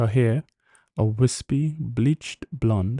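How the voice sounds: It is a natural reading voice with ordinary pitch variation. The background is quiet.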